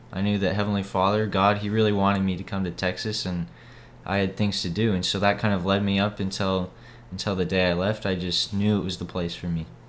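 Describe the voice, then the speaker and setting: A man with an American accent talks at a fairly quick pace, his fairly low pitch held in a monotone, flat intonation. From Idaho, Boise. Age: young. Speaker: missionary. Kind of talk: casual interview about faith.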